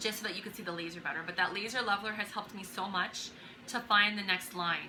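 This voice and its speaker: Talking at a very fast pace, a woman keeps a medium pitch and fairly even intonation. There is noticeable background noise. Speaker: DIY handyperson vlogger. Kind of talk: tutorial. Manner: casual, with many fillers.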